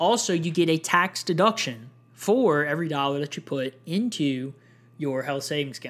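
On a very clean recording with a silent background, a man with a normal speaking voice and fairly high pitch speaks at a moderate pace with lively intonation. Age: 20s. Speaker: podcast host on personal finance. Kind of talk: solo educational podcast monologue. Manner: casual, with frequent fillers.

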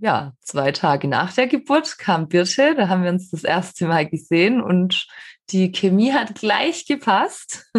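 Against a quiet background, a woman speaks at a very slow pace in a medium pitch, her voice swinging very widely up and down. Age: 30s. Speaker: horse trainer, podcast co-host. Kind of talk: casual chat.

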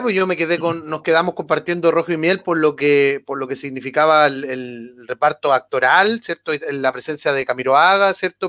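Bright and sharp in tone, a man talks at a fairly quick pace with lively intonation, the sound dry and close with no echo and the background quiet. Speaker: podcast co-host. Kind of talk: casual chat.

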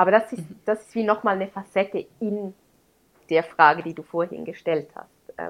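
In an ordinary speaking voice, a woman speaks at a medium pitch with ordinary pitch variation and big swings in loudness. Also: moderate pace. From Switzerland, Graubünden. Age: 30s. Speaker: teacher and blogger on adoption. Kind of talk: interview, personal testimony.

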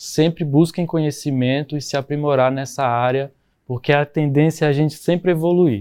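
Fairly high in pitch, a man speaks with a dark, mellow tone. His pace is fairly quick and his intonation fairly even. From Brazil, Goiás (rural). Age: 20s. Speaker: permaculture builder. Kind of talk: interview. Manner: halting.

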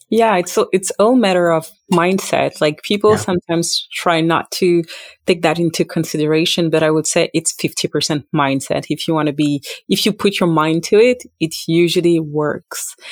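At a moderate pace, a woman with a plain, everyday voice speaks at a fairly low pitch with ordinary pitch variation and very even loudness, the sound dry and close with no echo. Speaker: podcast host. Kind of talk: interview, hosting.

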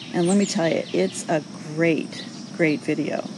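Over noticeable background noise, a woman with an American accent speaks at a moderate pace in a very deep, low pitch. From New York. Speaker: social audio show host. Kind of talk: casual chat responding to callers.

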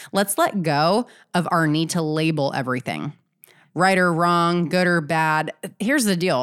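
A woman with a fairly low voice speaks in an energetic tone. Her intonation is lively, and the recording is very clean with a silent background. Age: 30s. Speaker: podcast host and business coach. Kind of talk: solo podcast monologue.

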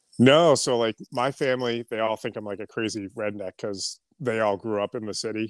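With an American accent, a man talks at a moderate pace in an unremarkable speaking voice, using fairly even intonation and hardly any pauses. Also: medium pitch for a man, dry, close sound with no echo, very clean recording, silent background. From Boston, then central New Hampshire. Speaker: clothing brand founder and duck hunter. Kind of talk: casual chat.

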